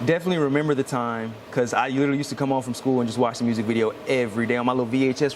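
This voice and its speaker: Very fast speech from a man with an American accent, noticeable noise behind it. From Houston area, Texas. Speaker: alternative hip-hop rock artist. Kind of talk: interview. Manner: casual, filler-heavy.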